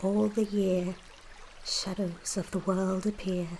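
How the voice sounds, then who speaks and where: Someone whispers softly at a very slow pace. Noticeable background noise can be heard. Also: woman. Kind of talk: poetry reading. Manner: soft-spoken, whispery.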